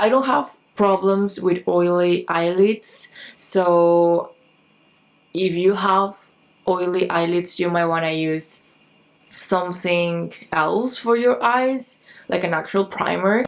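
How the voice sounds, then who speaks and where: A woman talks very slowly in a Spanish accent. Her pitch is fairly low, with ordinary variation. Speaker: beauty vlogger. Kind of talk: makeup tutorial. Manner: casual, halting.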